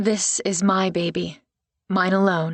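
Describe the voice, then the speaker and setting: A raspy, put-on character voice, female-sounding, at a medium pitch and a fairly slow pace. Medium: read story.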